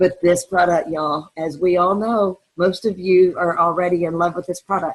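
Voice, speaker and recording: This woman has a plain, everyday voice and a fairly low pitch. She speaks at a fairly slow pace. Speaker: direct sales team leader. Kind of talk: training webinar.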